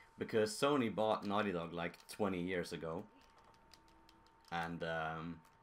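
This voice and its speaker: Speaking with a Swedish accent, a man uses very deep, low pitch and ordinary pitch variation at a fairly slow pace, with long, frequent pauses. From Sweden. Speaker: gaming streamer. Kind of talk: live stream commentary.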